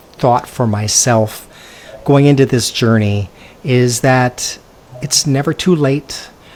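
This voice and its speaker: A man at a very slow pace, medium in pitch with ordinary pitch variation, in a West Coast US accent. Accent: General American (West Coast). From California. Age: 60s. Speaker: expat interview guest, former realtor. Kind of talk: casual interview chat.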